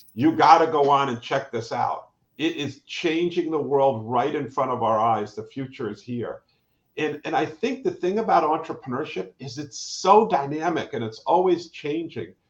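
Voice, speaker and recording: With a plain, everyday voice, a man talks at a moderate pace and fairly high pitch, his intonation lively. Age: 60s. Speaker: professor and entrepreneur. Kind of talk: live panel conversation. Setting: live online stream.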